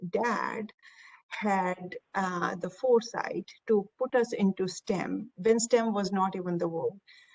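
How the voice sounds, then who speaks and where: Speaking with an Indian accent, a woman talks at a very slow pace. Her pitch is medium, and her intonation fairly even. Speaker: technology executive. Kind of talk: panel discussion.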